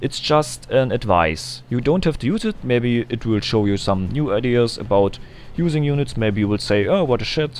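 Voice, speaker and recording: Speaking in a non-native accent, a man keeps very even loudness at medium pitch and a moderate pace, with lively intonation. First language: German. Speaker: gaming video creator. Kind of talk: gameplay tutorial. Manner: halting, frequent ums.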